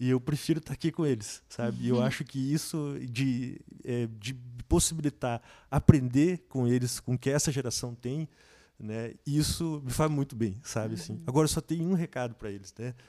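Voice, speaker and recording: Recorded with a dry, close sound and no echo, a man speaks at medium pitch and a moderate pace in a dark, mellow tone. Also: ordinary pitch variation. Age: 30s. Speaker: student and musician. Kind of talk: casual chat.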